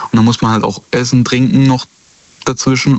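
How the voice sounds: A man talks at a fairly quick pace, his pitch sitting at a medium level.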